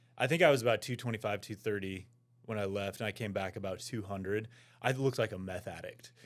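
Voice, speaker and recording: Speaking very fast with an American accent, a man talks at a fairly low pitch with ordinary pitch variation on a very clean recording with a silent background. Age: 40s. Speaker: former college football player. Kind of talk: casual interview chat.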